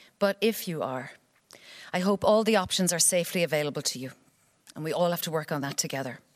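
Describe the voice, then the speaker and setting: A woman with an Irish accent and a fairly low pitch speaks at a very fast pace with ordinary pitch variation, broken up by long, frequent pauses. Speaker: actor and writer. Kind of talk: reading aloud.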